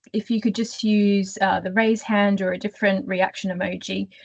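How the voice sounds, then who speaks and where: Somewhat breathy, a woman speaks at a moderate pace with an Australian accent. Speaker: career coach. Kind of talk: webinar presentation.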